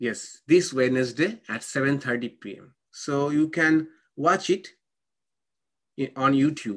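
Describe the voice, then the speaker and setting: A man with a non-native accent speaks at a fairly slow pace in a fairly high pitch. His intonation is lively, broken by long, frequent pauses. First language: not English. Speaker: monk and spiritual teacher. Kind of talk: spiritual lecture with Q&A. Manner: halting.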